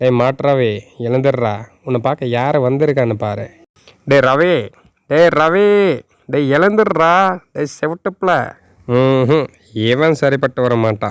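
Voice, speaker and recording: A cartoonish character voice sits at a low-to-middle pitch and moves at a fairly slow pace. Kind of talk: cartoon comedy. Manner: comic overacting.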